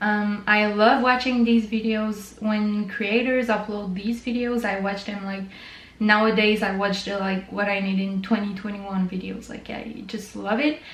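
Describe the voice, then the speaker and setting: A woman talks at a fairly high pitch with monotone, flat intonation. Noticeable background noise and audible room echo surround her voice. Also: moderate pace. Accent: French Canadian. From French Canada. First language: French. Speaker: knitting vlogger. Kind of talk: casual vlog talk. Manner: casual, many fillers.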